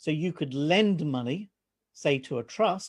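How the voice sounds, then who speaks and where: Over a quiet background, a man speaks at a fairly high pitch. His intonation is lively. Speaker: financial adviser. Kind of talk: presentation to live online audience. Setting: live stream. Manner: fast.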